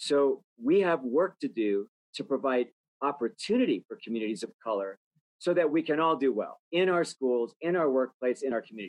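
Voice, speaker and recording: With an ordinary speaking voice and lively intonation, a man speaks at a fairly quick pace. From US, rural Idaho. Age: 60s. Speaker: healthcare nonprofit executive. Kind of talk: interview.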